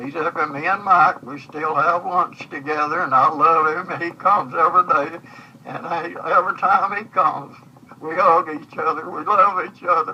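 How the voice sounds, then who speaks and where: With a Southern US accent, a man speaks at a high pitch and fairly even intonation against noticeable background noise. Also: moderate pace. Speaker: grandfather recording memories. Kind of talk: personal reminiscence monologue. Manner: halting, repetitive.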